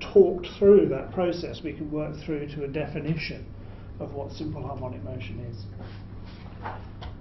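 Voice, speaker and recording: With a British accent, a man speaks at a fairly high pitch, his intonation lively. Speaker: physics lecturer. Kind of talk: lecture. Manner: explanatory, uses filler words.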